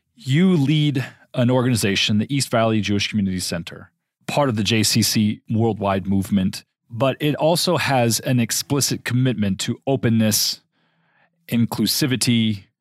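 A man talks in an ordinary speaking voice at a medium pitch with ordinary pitch variation. His loudness stays very even. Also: moderate pace. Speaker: podcast host. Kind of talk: interview.

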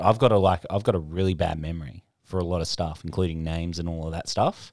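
In an Australian accent, a man talks at a fairly quick pace, the sound dry and close with no echo. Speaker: podcast co-host and comedian. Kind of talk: casual banter.

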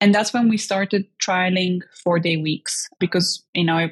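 With an Eastern European accent, a woman speaks in a somewhat breathy voice, the sound dry and close with no echo. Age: 20s.

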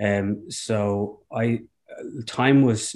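The speaker has a south Dublin accent. The background is quiet. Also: man. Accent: Irish (south Dublin). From Dublin, Ireland. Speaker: founder and CEO of a bike sharing company. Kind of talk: interview. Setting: at home, remote call.

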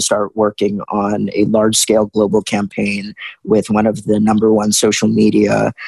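With an American accent, a man speaks at a moderate pace in a fairly low, dark, mellow voice, the sound dry and close with no echo against a quiet background. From US South, Richmond, Virginia. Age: 20s. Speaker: motivational speaker and activist. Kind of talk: interview.

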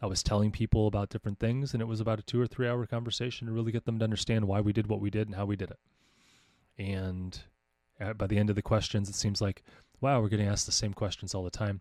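A very fast, monotone delivery in an American accent, dry and close with no echo. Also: man, fairly low pitch for a man, very clean recording, silent background. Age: 40s. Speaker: podcast host and homeschooling coach. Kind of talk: casual monologue. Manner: halting with frequent fillers.

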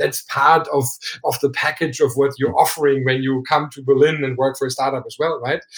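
Somewhat breathy and fairly high in pitch, a man talks at a fairly quick pace in a monotone, flat intonation with big swings in loudness. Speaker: startup founder. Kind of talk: interview.

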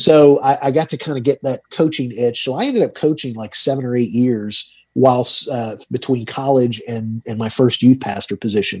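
Speaking with an American accent and a plain, everyday voice, a man keeps a moderate pace with hardly any pauses, his medium pitch showing ordinary variation. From Georgia, US South (Tucker, Atlanta area). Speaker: financial advisor and radio host. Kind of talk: interview.

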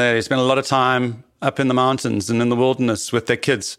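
A man talks with a South African accent. His pitch is medium. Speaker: biologist and expedition leader. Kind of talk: interview.

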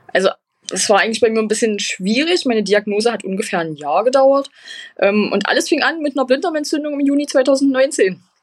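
Her high voice swinging very widely in pitch, a woman speaks at a fairly quick pace. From eastern Germany, Magdeburg. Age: 20s. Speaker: patient sharing her illness story. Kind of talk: interview.

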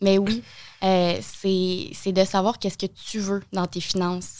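A woman speaks with a Quebec accent. The recording is very clean, its background silent. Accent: Québécois French. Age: 20s. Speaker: TV host and content creator. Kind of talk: casual interview.

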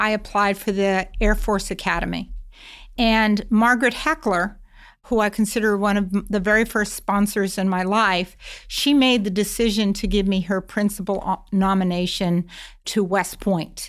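A woman with an American accent speaks in an ordinary speaking voice at a medium pitch and a moderate pace. Her intonation is fairly even, and the recording is very clean with a silent background. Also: very even loudness. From Massachusetts. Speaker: corporate security executive, former FBI agent. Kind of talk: interview.

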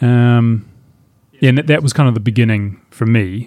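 In a dry, close recording with no echo, a man with a New Zealand accent speaks at a medium pitch with ordinary pitch variation. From New Zealand, far south of the South Island. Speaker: outdoor guide website creator. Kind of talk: interview conversation.

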